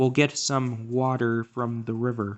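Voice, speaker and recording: A man at medium pitch puts on a character voice, speaking at a fairly slow pace with monotone, flat intonation. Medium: read story.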